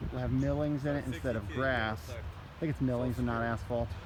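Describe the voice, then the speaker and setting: The man's voice is medium in pitch with lively intonation. He talks at a moderate pace, and an audible room echo surrounds him. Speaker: school administrator giving project update. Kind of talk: walking video tour.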